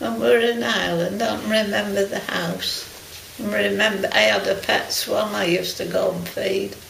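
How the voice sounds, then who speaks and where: The background carries noticeable noise. Over it, a woman talks at a moderate tempo. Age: 80s+. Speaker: retired canteen worker. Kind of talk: interview answer.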